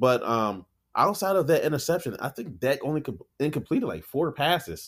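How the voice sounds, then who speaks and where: In a very clean recording with a silent background, a man with vocal fry speaks fairly quickly, his pitch swinging very widely. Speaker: fantasy football podcast co-host. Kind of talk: casual chat. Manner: joking, laid-back.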